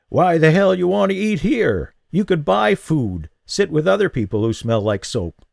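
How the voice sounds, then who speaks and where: In a put-on character voice, a man cackles in a croaky, fairly high voice with very wide pitch swings, talking at a moderate pace with hardly any pauses, in a dry, close sound with no echo on a very clean recording with a silent background. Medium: read story. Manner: blunt, cackling.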